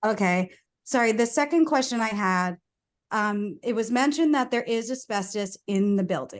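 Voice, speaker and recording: Against a quiet background, a woman with an American accent speaks in a fairly high pitch with lively intonation. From New York. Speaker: community resident speaking at public meeting. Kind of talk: public comment questions. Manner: fast.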